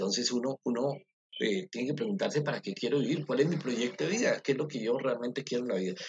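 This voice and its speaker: Somewhat breathy and at a very fast pace, a man talks with medium pitch and lively intonation. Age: middle-aged. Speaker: university professor. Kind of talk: interview. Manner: halting.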